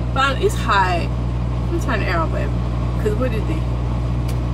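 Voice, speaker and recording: A woman speaks at a fairly quick pace while loud background noise fills the clip. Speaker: truck driver vlogger. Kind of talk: casual vlog chat. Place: car. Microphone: camera far.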